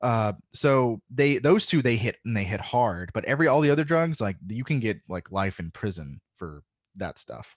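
An American-accented man at medium pitch and moderate pace, pitch swinging very widely, with a dry, close sound free of echo and a quiet background. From US South. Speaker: podcaster. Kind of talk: casual chat.

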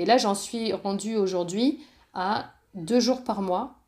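A woman's medium-pitched, an ordinary speaking voice with ordinary pitch variation, on a very clean recording with a silent background. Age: 30s. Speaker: entrepreneur and coach. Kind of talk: interview.

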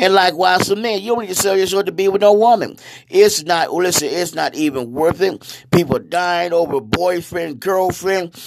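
An animated man with a high-pitched voice over noticeable background noise. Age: 60s. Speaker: preacher. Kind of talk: sermon-style monologue.

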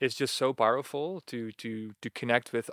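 A man with a Dutch accent and medium pitch at a moderate pace, dry and close with no echo, in a very clean recording with a silent background. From Netherlands. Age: 30s. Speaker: retreat facilitator. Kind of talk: casual interview.

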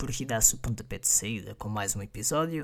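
Someone with a European Portuguese accent speaks at a moderate pace on a very clean recording with a silent background. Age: 20s. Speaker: podcast host. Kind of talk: casual monologue.

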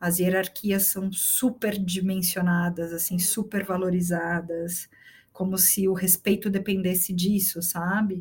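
Speaking in a São Paulo accent, a woman talks at a fairly slow pace in a somewhat breathy voice, with monotone, flat intonation and very even loudness. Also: medium pitch for a woman. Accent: Paulistano Brazilian Portuguese. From Brazil, São Paulo city. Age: 30s. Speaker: executive director of an education foundation. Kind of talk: casual interview chat.

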